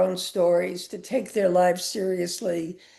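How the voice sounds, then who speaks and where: A woman speaks at a medium pitch in a dark, mellow tone with vocal fry. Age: 80s+. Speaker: author. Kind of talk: author talk.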